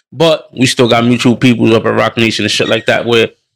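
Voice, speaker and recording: A man with an American accent and a medium pitch talks at a fairly quick pace, the sound dry and close with no echo. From New York City and New Jersey. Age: 30s. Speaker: hip hop artist. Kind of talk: casual chat.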